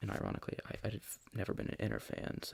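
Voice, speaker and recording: Soft-spoken delivery at a fairly quick pace. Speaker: ASMR creator. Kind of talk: ASMR soft-spoken show and tell.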